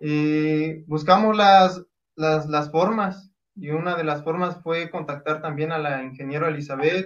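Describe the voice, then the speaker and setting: A man with a normal speaking voice, fairly high in pitch, fairly even in intonation and fairly slow in pace. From Oaxaca, Mexico. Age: 20s. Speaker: mountain runner. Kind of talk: interview.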